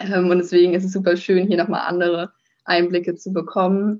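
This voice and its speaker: A woman speaks at a moderate pace in a medium pitch. She has an ordinary speaking voice. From northern Germany, near Kiel. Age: 20s. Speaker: master's student. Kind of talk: interview. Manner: many filler sounds (ähm, äh).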